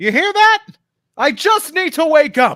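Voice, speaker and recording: A man shouts in a put-on character voice with an extremely high pitch. He keeps a fairly slow pace. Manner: yelling.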